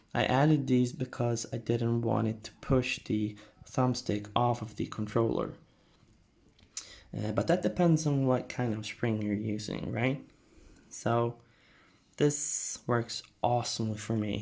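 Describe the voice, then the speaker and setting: Medium-pitched, somewhat breathy male voice with a non-native accent, fairly slow, with long, frequent pauses. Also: ordinary pitch variation. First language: not English. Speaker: gaming tech YouTuber. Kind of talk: tutorial. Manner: casual, hesitant with fillers.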